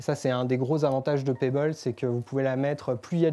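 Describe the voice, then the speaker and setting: Using a fairly high pitch and a dark, mellow tone, a man speaks at a fairly quick pace with fairly even intonation. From France. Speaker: developer relations speaker. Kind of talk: tech meetup presentation. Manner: hesitant, many filler pauses.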